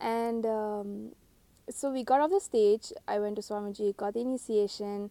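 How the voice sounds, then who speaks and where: A woman speaks with a dark, mellow tone. Her pitch sits fairly high. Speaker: spiritual teacher. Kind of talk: casual monologue to camera. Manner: uneven volume, voice breaking; hesitant, many fillers.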